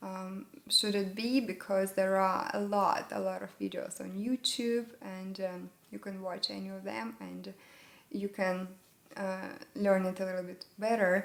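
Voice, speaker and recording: Someone with a Russian accent speaks at a fairly slow pace with fairly even intonation and big swings in loudness, over noticeable background noise. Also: woman, medium pitch for a woman. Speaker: English learning YouTuber. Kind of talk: tutorial. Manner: halting, with many fillers.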